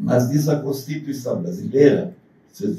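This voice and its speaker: This man has a fairly high pitch, a dark, mellow tone and vocal fry. He speaks at a fairly slow pace. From southern Brazil. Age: 80s+. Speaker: university lecturer. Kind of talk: lecture. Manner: partly reading aloud.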